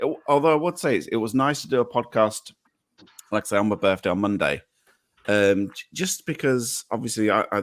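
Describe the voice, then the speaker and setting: A man with an English accent speaks at a medium pitch and moderate pace, with vocal fry and very wide pitch swings. The recording is very clean with a silent background, dry and close with no echo. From England. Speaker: podcaster. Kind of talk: casual chat. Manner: halting.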